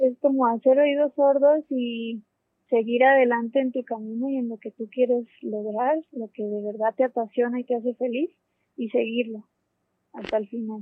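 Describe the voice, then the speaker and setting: Her high pitch holding fairly even intonation, a woman speaks at a moderate pace with big swings in loudness. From Colombia, Popayán. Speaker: astronomy graduate researcher. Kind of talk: interview.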